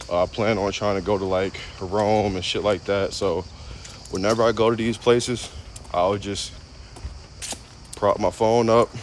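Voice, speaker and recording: Against noticeable background noise, a man with a fairly low voice speaks in a flat monotone at a moderate pace, pausing long and often. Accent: American. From United States. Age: 20s. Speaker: streamer. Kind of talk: casual live stream monologue. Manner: casual, filler-heavy.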